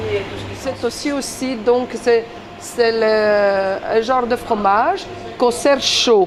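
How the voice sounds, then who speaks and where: Speaking with a Greek accent, a woman talks at a fairly slow pace in a fairly high pitch with ordinary pitch variation. Audible room echo and noticeable background noise fill the recording. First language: Greek (speaking French). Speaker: Greek expatriate interviewee. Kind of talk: casual interview. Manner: hesitant, many fillers.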